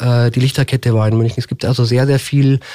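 This man has a dark, mellow tone at a medium pitch, delivered in a monotone, flat way. The recording is very clean, with a silent background. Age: 50s. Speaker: mayoral candidate. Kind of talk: radio interview. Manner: hesitant fillers.

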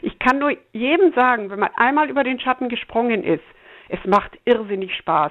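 A woman's high voice at a fairly quick pace. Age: 60s. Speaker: climate activist grandmother. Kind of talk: interview.

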